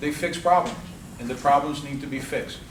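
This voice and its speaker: A man's fairly high voice at a very fast pace, with ordinary pitch variation, noticeable background noise and audible room echo. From Cuba, raised in South Florida. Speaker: political candidate. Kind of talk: campaign speech. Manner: animated.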